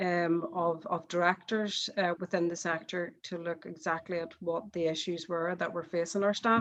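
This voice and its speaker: At a moderate pace and with hardly any pauses, the speaker talks in a Northern Irish accent with monotone, flat intonation against a quiet background. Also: woman, fairly low pitch for a woman. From Northern Ireland. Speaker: charity chief executive, panelist. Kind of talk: panel discussion statement.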